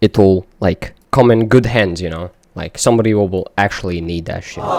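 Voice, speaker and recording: In a non-native accent, a man speaks at a moderate pace and fairly low pitch, with fairly even intonation and big swings in loudness. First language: not English. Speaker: music producer. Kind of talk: tutorial. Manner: casual, many fillers.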